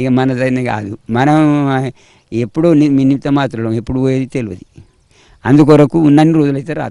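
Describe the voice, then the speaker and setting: Medium in pitch, a man's voice carries a dark, mellow tone. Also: ordinary pitch variation. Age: 80s+. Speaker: elderly devotee. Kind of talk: interview. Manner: halting.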